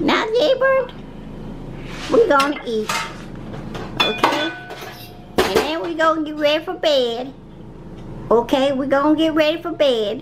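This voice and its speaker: Clear background noise accompanies a woman with a high pitch who talks at a moderate pace. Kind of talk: comic domestic sketch acting. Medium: comedy sketch. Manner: scolding, exasperated but affectionate.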